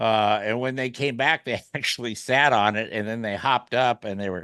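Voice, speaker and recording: A man at medium pitch with a bright, sharp tone and fairly even intonation, over a quiet background. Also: moderate pace. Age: 60s. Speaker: radio show host. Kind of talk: casual chat.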